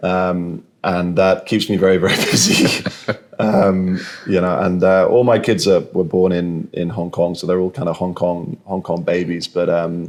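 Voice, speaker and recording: A man with a British accent and a very deep, low pitch, speaking at a fairly slow pace in a monotone, flat way. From southern England. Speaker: insurance executive. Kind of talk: interview. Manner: halting, many repeated words.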